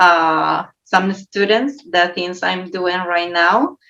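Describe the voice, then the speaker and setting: A woman speaks very slowly at a medium pitch, with a non-native accent and a bright, sharp tone. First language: not English. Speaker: folk artist. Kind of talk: panel discussion. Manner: halting.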